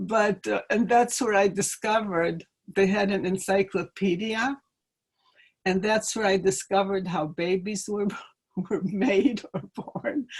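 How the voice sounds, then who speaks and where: Speaking slowly-ish with a slight Ukrainian accent, a woman has a somewhat breathy, medium-pitched voice with ordinary pitch variation. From Ukraine. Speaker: interviewee parent. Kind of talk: life-story interview. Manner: halting.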